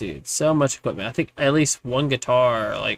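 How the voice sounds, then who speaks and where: A mumbling man at a moderate pace, with ordinary pitch variation and a dry, close sound with no echo. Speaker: gaming streamer. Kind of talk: casual live stream chat. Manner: tends to mumble. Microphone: mic moved closer to face, picking up better.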